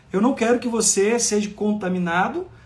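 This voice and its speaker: A man speaks at a high pitch. Room echo is audible. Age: 50s. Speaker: pastor. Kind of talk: sermon.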